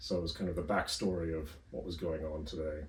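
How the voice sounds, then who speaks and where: Speaking at a fairly quick clip with fairly even intonation, a man with an American accent is heard in a room with audible echo. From northern US. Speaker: history academic. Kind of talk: interview. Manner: hesitant, many fillers.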